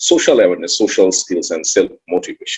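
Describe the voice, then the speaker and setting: A man is speaking. He talks with a Bengali accent. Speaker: author and emotional intelligence trainer. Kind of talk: online summit talk.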